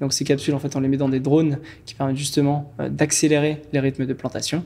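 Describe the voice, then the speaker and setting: Talking at a very fast pace, a man delivers a flat monotone in a fairly high pitch with a dark, mellow tone. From French Guiana. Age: 20s. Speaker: entrepreneur. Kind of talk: podcast interview. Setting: studio. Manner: hesitant, many fillers.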